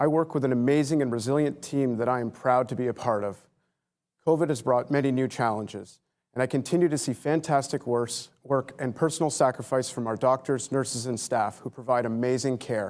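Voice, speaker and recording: A man speaks at a fairly quick pace in a medium pitch with fairly even intonation, on a very clean recording with a silent background. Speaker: hospital chief of staff, emergency physician. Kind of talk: scripted speech at a virtual gala. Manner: fast.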